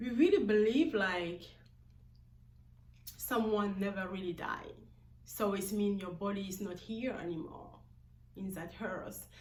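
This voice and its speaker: A woman with a medium pitch and ordinary pitch variation talks at a fairly slow pace with long, frequent pauses, audible room echo and noticeable background noise. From Guinea-Bissau, West Africa. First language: a Guinea-Bissau language, not English. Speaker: vlogger. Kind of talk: personal vlog monologue. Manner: halting, with many fillers.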